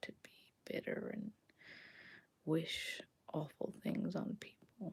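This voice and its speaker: The voice is soft-spoken and whispering, somewhat breathy throughout. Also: woman. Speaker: ASMR content creator and podcaster. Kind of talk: casual talk to camera, reflective personal sharing. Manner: whispered and soft-spoken.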